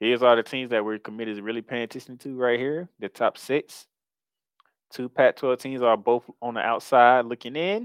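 With an unremarkable speaking voice, a man keeps a medium pitch, fairly even intonation and a moderate pace. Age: 30s. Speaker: college football podcast host. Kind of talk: casual sports talk.

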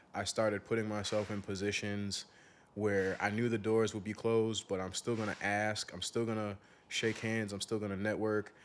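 A man's fairly low, monotone voice with flat intonation, in a Chicago-area accent. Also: moderate pace. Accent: Chicago-area American English. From US Midwest. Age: 20s. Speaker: aquarium entrepreneur and youth mentor. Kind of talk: casual interview conversation.

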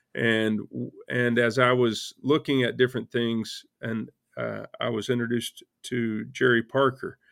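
A man in a Texan accent talks at a fairly slow pace with hardly any pauses, keeping a monotone, flat intonation at a medium pitch. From Texas panhandle. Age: 50s. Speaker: hedge fund manager. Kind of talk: interview. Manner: halting.

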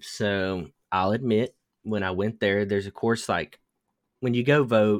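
A man's ordinary speaking voice, fairly low in pitch, with fairly even intonation, a dry, close sound with no echo, and a very clean recording over a silent background. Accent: American. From US South. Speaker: podcast host. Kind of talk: casual chat.

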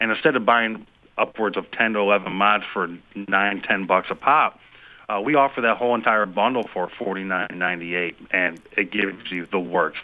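A man uses a normal speaking voice, fairly low in pitch, at a moderate pace with ordinary pitch variation. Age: 30s. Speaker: senior designer at a custom game controller company. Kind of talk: interview.

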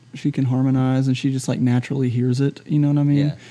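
In a Southern US accent, a man talks at a fairly quick pace with fairly even intonation. His tone is relaxed, dark, and mellow. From US South, Shreveport, Louisiana. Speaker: singer-songwriter. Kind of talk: casual interview chat. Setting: quiet front bar of a music venue. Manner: relaxed, halting with fillers.

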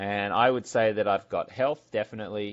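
Here a man talks at a moderate pace in a fairly low voice. His intonation is fairly even. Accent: Australian. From Brisbane, Australia. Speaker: entrepreneur and former sports TV anchor. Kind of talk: interview.

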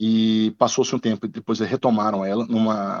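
A man talks at a fairly quick pace. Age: 40s. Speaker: lawyer. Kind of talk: interview. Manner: halting.

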